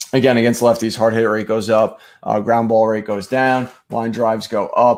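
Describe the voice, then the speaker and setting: His medium pitch held in monotone, flat intonation, a man speaks. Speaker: fantasy baseball streaming host. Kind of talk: live stream sports analysis. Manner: fast; hesitant with many fillers.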